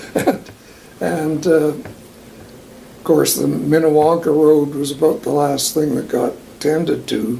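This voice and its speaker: A man with a Western Canadian accent talks at a very slow pace in a fairly high pitch and a relaxed tone. Noticeable background noise runs underneath. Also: ordinary pitch variation. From Alberta, Canada. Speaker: long-time local resident. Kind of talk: oral history interview answer. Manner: relaxed, reminiscing.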